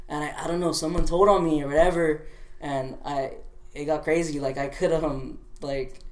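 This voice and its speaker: A man's fairly high voice at a moderate pace, fairly even in intonation, with audible room echo and noticeable background noise. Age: 20s. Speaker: clothing brand founder. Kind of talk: casual interview. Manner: halting, many fillers.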